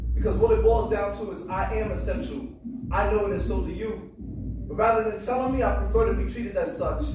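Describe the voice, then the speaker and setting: Music plays behind the speaker, a man. He keeps his speech at a moderate speed. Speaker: spoken word artist. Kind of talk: spoken word poetry performance.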